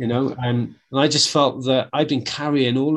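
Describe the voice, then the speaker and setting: Against a quiet background, a man with a Welsh accent speaks at a fairly quick pace. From Wales. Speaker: martial arts instructor. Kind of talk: casual chat.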